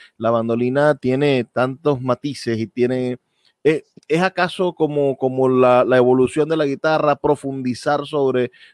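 A man with an unremarkable speaking voice at medium pitch and moderate pace. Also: dry, close sound with no echo. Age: 30s. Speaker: radio host. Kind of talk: radio interview.

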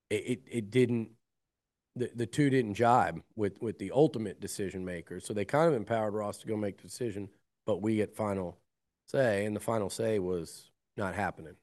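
Against a quiet background, a man talks in an unremarkable speaking voice, fairly low in pitch, with ordinary pitch variation. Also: fairly quick pace. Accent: American. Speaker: college sports journalist. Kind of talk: casual sports interview.

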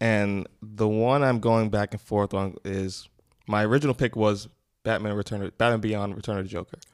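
A man's fairly low voice at a moderate pace, flat and monotone, with an American accent, dry and close with no echo, music playing behind. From US, Queens, New York. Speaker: podcast guest. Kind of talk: casual chat.

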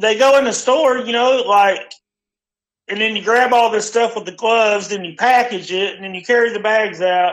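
At a moderate pace, a man talks with a high pitch and fairly even intonation, his loudness swinging widely. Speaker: friend calling in. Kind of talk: casual chat. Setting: phone call.

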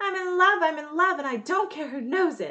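Using a put-on character voice with a Sonic. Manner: excited, exuberant.

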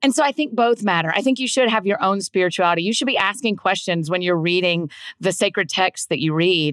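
With a Southern US accent, a woman talks at a very fast pace and with lively intonation on a very clean recording with a silent background. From US South. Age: 30s. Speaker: author and podcaster. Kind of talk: casual interview conversation.

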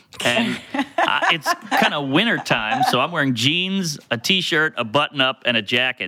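A man with a fairly high pitch swings very widely in pitch, the sound dry and close with no echo, over noticeable background noise. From US South, New Orleans. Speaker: comedian. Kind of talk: casual chat, storytelling.

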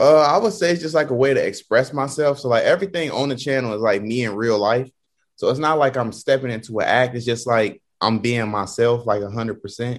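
A man with an American accent speaks at a medium pitch and a fairly quick pace. His pitch variation is ordinary, and the background is quiet. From Ohio, US Midwest. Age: 20s. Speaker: YouTube content creator. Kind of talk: interview. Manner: halting.

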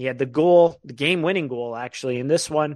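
A man's plain, everyday voice, fairly high in pitch, fairly quick and fairly even in intonation, over a quiet background. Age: 20s. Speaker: hockey podcast host. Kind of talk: casual chat.

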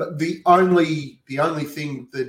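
Somewhat breathy, fairly high male speech in an Australian accent with fairly even intonation. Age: 40s. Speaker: sports podcaster. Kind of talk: casual chat. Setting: video call.

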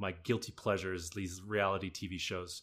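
This man speaks with a Canadian accent at a moderate pace. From western Canada. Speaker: stage and film actor. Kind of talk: casual interview. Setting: video call.

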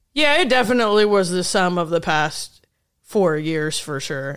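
A woman with a Midwestern US accent speaks at a fairly low pitch in a very clean recording with a silent background. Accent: US Midwest. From Indiana, rural. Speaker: stand-up comedian. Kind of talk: casual chat. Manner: fast.

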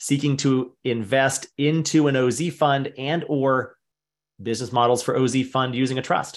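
With an ordinary speaking voice, a man talks at a medium pitch with fairly even intonation. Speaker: webinar host. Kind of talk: live Q&A webinar moderation. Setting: online webinar. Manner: brisk, rapid-fire.

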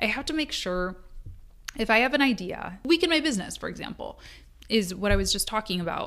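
In a very clean recording with a silent background, a woman speaks with a bright, sharp tone. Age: 30s. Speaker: podcast host and business coach for freelancers. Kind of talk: solo podcast monologue with tips. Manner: casual, conversational.

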